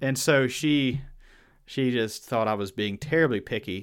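Someone with a Southern US accent talks with ordinary pitch variation in a very clean recording with a silent background. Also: man. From Virginia. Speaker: podcast host. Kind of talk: casual chat.

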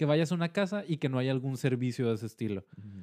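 A man with a Mexican accent speaks at medium pitch in a dark, mellow tone, with ordinary pitch variation. The sound is dry and close with no echo, on a very clean recording with a silent background. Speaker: podcast host. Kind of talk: casual chat.

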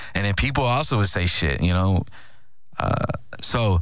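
In an American accent, a man speaks at a very deep, low pitch with lively intonation. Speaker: podcast host and radio co-host. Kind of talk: casual podcast monologue. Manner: casual, conversational, filler-heavy.

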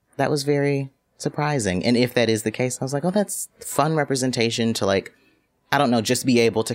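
A man talks at a very fast pace. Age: 20s. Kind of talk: casual chat.

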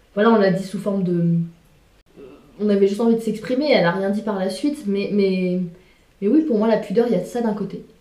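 Over noticeable background noise and audible room echo, a woman talks at a moderate pace in a fairly high voice. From France, Sarthe (Le Mans). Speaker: interview guest. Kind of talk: casual chat.

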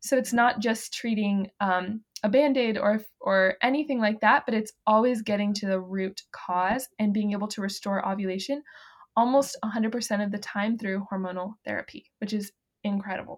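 In a normal speaking voice at a moderate pace, the speaker keeps a fairly even intonation on a very clean recording with a silent background. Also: woman, fairly high pitch for a woman. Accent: American. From US South, the Carolinas. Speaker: fertility awareness educator. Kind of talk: casual interview chat.

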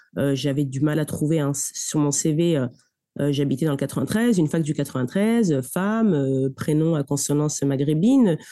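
A woman's very deep, low voice with a dark, mellow tone, ordinary pitch variation and a fairly slow pace, over a quiet background. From Paris suburbs, Seine-Saint-Denis (93). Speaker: lawyer. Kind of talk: interview. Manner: hesitant, with frequent repetitions.

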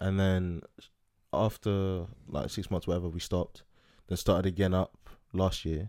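On a very clean recording with a silent background, a man speaks in a very deep, low pitch with a dark, mellow tone. His delivery is monotone and flat, with big swings in loudness and long, frequent pauses. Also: moderate pace. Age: 20s. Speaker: podcast co-host. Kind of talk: casual chat.

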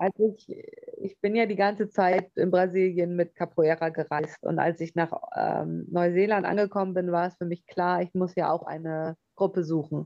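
At a moderate pace, a woman talks at a fairly low pitch with monotone, flat intonation. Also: big swings in loudness. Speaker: capoeira trainer. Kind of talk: interview.

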